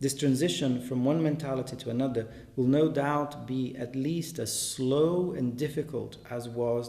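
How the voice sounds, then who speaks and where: Audible room echo accompanies a man speaking at a moderate pace and medium pitch with fairly even intonation. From Brazil. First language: Portuguese. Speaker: artist and translator. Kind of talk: reading aloud. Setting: exhibition in a gallery.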